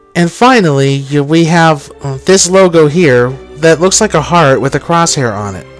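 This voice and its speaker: A man speaks at a fairly high pitch with music in the background. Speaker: art and design student. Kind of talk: portfolio presentation voice-over.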